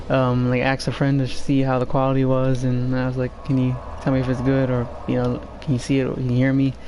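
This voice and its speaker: Audible room echo surrounds a man speaking at medium pitch and a fairly quick pace. His intonation is monotone and flat, and his loudness very even. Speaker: game streamer. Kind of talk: live gameplay commentary. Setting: live stream. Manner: halting. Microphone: quiet microphone turned up.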